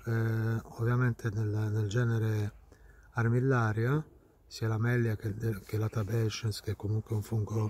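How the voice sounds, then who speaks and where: A quiet man's voice, somewhat breathy with a dark, mellow tone, monotone and flat, at a fairly slow pace, in a dry sound with no echo. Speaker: mycologist. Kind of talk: outdoor tutorial. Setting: outdoors in woods. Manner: quiet, low voice. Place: forest. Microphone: phone near.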